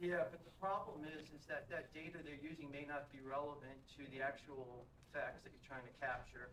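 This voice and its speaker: With audible room echo, a fairly high-pitched man speaks with fairly even intonation and big swings in loudness. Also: moderate pace. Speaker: audience member, retired air force officer. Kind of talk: audience question. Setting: conference hall with audience.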